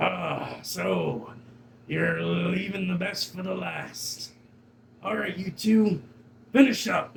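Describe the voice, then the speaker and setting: Using a raspy, put-on character voice, a man speaks at a very slow pace with long, frequent pauses. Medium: actual play. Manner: gruff, commanding.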